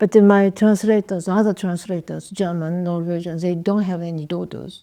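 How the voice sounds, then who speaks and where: With a Japanese accent, a woman speaks at a moderate pace in a fairly low pitch with monotone, flat intonation and big swings in loudness, over a quiet background. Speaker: poet and writer. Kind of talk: interview. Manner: halting.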